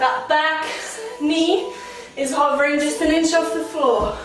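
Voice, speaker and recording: Faint music plays behind a woman who speaks at a very slow pace amid audible room echo. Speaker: fitness instructor. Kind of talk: workout instruction. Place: home room. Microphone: camera far.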